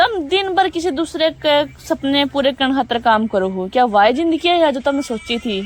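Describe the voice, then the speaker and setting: A woman's high-pitched voice with very wide pitch swings over noticeable background noise. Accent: Haryana. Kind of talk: book summary narration. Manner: motivational, casual.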